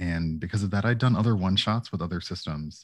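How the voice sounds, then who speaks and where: With lively intonation, a man speaks in an unremarkable speaking voice at a fairly low pitch. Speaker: streamer and Dungeons and Dragons player. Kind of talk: casual interview chat.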